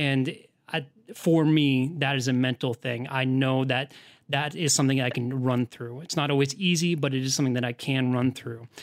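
At a moderate pace, a man talks with medium pitch and fairly even intonation. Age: 30s. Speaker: podcast co-host. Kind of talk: casual interview conversation. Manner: halting, repeats words.

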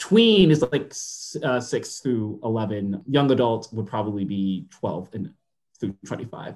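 A man with lively intonation speaks in a somewhat breathy voice. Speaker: writer guest. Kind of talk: casual chat. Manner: joking.

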